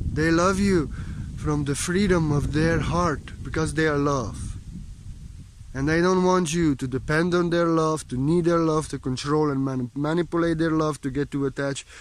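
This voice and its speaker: Dry and free of echo, the recording has a man at a fairly high pitch speaking at a moderate pace with fairly even intonation. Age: 30s. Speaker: spiritual teacher. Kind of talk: spiritual monologue. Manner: emotional, repetitive emphasis. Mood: calm, meditative, heartfelt. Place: forest. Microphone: phone near.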